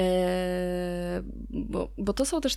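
The speaker here is a woman. Her voice shows ordinary pitch variation. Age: 30s. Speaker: podcast co-host. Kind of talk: casual chat. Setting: remote recording from her workplace.

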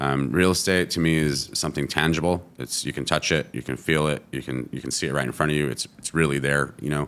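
Fairly quick, nearly pause-free male speech in a Californian accent, very deep and low, with vocal fry and fairly even intonation. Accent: Californian American. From California, US. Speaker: restaurant founder. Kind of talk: casual interview.

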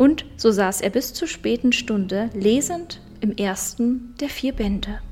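A woman with a fairly high pitch talks in an animated tone with ordinary pitch variation and hardly any pauses, over noticeable background noise. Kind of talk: casual chat, then literary audiobook reading. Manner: animated, laughs a lot in chat; in the reading steady, measured, narrating.

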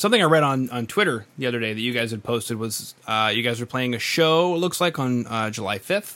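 A man's medium-pitched voice, fairly quick in pace, with lively intonation. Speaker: podcast host. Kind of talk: casual interview. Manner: animated.

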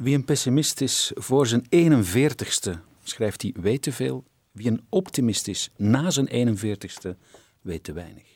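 Very slowly and with lively intonation, a man speaks at a medium pitch in a dry, close sound with no echo on a very clean recording with a silent background. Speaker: radio host. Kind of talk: interview; scripted narration.

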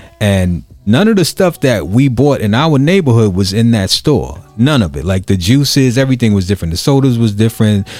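A man with a Brooklyn accent talks fairly quickly at a medium pitch, with hardly any pauses. His intonation is lively, and music plays in the background. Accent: New York, Brooklyn. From Brooklyn, New York (Crown Heights). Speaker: podcast host and DJ. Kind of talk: casual chat. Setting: studio.

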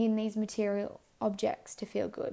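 A woman speaks at a fairly high pitch. Vocal fry runs through her voice. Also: slightly mellow tone.

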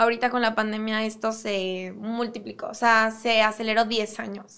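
A woman speaks slowly-ish in an ordinary speaking voice, fairly high in pitch with fairly even intonation. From Mexico, Cuautla (Morelos). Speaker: fashion designer. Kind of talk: interview.

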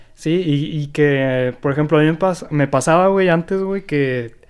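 With a Mexican accent, a man speaks at a fairly slow pace in a fairly high pitch. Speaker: podcast host. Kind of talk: casual chat.

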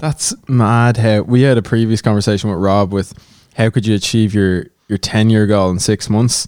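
A man with a normal speaking voice talks at a moderate pace, fairly low in pitch and with fairly even intonation. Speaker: podcast co-host. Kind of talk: casual podcast chat.

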